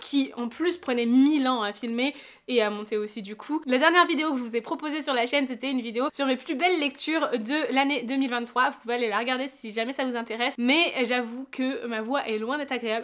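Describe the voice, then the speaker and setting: Fairly quick, high-pitched speech from a woman. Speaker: book vlogger. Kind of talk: casual vlog monologue.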